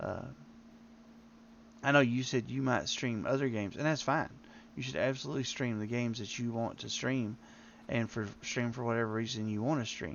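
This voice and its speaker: A man with a strong Southern US accent at a medium pitch, fairly quick pace and long, frequent pauses. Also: ordinary pitch variation. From Tennessee, US South. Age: old. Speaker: game streamer. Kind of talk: live gameplay stream chat. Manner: halting.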